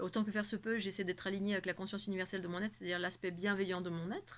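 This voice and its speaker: A woman speaks at a medium pitch. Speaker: spiritual channel host. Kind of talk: spiritual monologue to camera. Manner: fast; animated.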